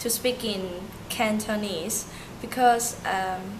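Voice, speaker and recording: Very slowly, a woman speaks at a fairly high pitch with ordinary pitch variation. The recording carries noticeable background noise and audible room echo. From Hong Kong, Turkish family. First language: Turkish. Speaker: interviewee. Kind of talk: interview. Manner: halting.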